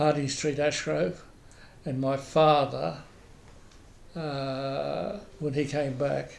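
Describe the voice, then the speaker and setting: A man in an Australian accent at a very slow pace, with fairly even intonation and audible room echo. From Queensland, Australia. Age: 80s+. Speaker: oral history interviewee. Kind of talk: oral history interview. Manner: halting, many repetitions and fillers.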